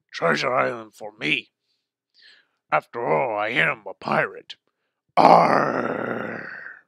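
A man puts on a cartoonish character voice at a medium pitch. He goes at a very slow pace with long, frequent pauses. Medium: puppet. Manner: gruff pirate talk.

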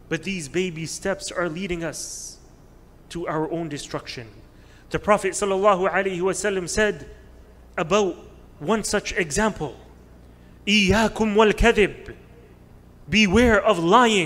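At a very slow pace, a man speaks with a high pitch and ordinary pitch variation, leaving long, frequent pauses. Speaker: religious teacher. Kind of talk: sermon. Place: hall. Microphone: podium.

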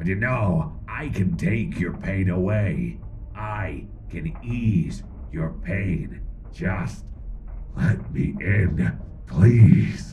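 A man puts on a character voice with a very deep, low pitch and a menacing tone. He speaks very slowly over clear background noise. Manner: menacing, wheedling, slow.

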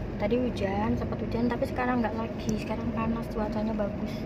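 Loud background noise accompanies a woman's voice, captured in a dry sound with no echo. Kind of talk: casual vlog chat. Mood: relaxed, cheerful. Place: car. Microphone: phone near.

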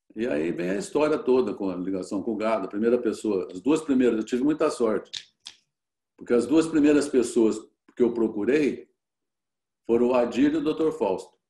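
A man's dark, mellow voice at a moderate pace, with long, frequent pauses, a quiet background and audible room echo. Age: 70s. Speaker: cattle rancher and businessman; guest. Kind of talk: interview. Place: home room. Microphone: video call.

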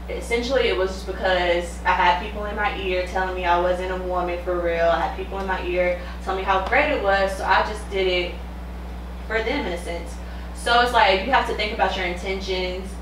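A woman at a fairly quick pace, with audible room echo and light background noise. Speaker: podcast co-host. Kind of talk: casual chat. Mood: reflective, candid. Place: home room.

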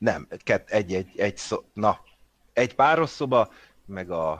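Against a quiet background, a man with fairly low pitch talks at a fairly slow pace, leaving long, frequent pauses. His pitch swings very widely and his loudness shifts a lot, in a dry, close sound with no echo. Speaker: game master. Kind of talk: tabletop role-playing game session.

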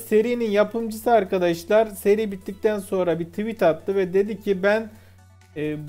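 A man's high-pitched voice over faint background music. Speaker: video reviewer. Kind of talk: commentary.

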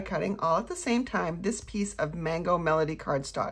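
A woman speaks with lively intonation, and the background is quiet. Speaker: craft class instructor. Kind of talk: tutorial.

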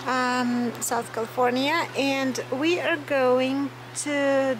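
Noticeable background noise sits behind the recording. A woman speaks at a high pitch with fairly even intonation. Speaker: travel vlogger. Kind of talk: casual vlog chat. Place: street. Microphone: phone near.

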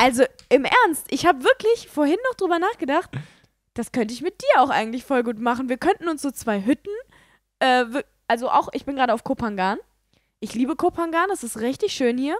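A woman speaks at a fairly quick pace in a high pitch, with very wide pitch swings and long, frequent pauses. The sound is dry with no echo, and the background is quiet. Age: 20s. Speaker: podcast co-host. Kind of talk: casual chat. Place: home room.

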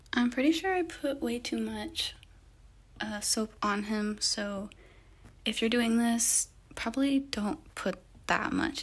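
A woman speaks at a very slow pace. Her fairly high voice has lively intonation. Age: young. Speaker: college student. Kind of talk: tutorial voice-over. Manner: casual, hesitant.

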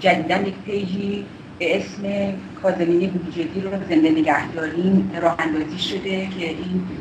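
Noticeable background noise sits behind a woman speaking at a moderate pace with a fairly low pitch and monotone, flat intonation. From Iran. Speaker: political activist, former prisoner; campaign spokesperson. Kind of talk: interview. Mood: serious, concerned. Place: home room. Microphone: video call.

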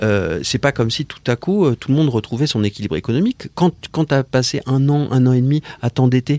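Fairly quick speech from a man with a dark, mellow tone comes across dry and close, with no echo. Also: very clean recording, silent background. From Paris, France. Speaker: nonprofit founder. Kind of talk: interview. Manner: halting.

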